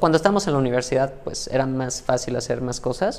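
This man's voice sits fairly high in pitch, and he talks at a fairly quick pace. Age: 30s. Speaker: mathematician and AI tech specialist. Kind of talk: interview conversation.

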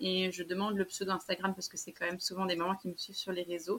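Her pitch is medium. This woman talks at a very fast pace. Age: 30s. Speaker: small business owner, clothing maker. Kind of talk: interview.

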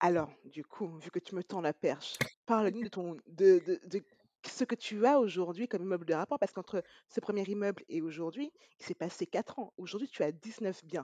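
A woman's dark, mellow tone at a medium pitch, with ordinary pitch variation, a moderate pace and a dry, close sound with no echo. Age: 30s. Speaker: podcast host. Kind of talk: interview. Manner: upbeat.

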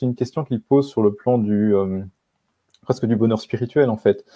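With a dark, mellow tone and fairly even intonation, a man speaks at a fairly slow pace in a dry, close sound with no echo. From rural Belgium. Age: 20s. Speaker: author. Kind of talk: interview.

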